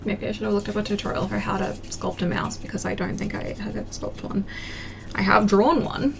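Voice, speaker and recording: A woman with an Australian accent at a fairly quick pace over noticeable background noise. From country Australia. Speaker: craft livestreamer. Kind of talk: casual livestream chat while crafting. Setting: live stream.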